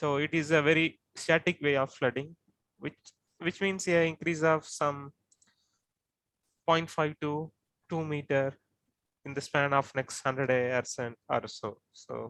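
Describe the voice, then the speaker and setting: Pausing long and often, a man with an Indian accent speaks at a fairly slow pace with a fairly high pitch and fairly even intonation, in a dry, close sound with no echo. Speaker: coastal flooding researcher. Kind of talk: expert explanation.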